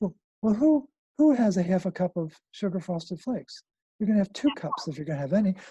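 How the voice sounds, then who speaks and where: The voice has a dark, mellow tone and lively intonation at a very fast pace. The sound is dry and close, with no echo. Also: man, high pitch for a man. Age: 60s. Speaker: health protocol founder, mineral health advocate. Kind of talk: interview. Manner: repetitive, halting restarts.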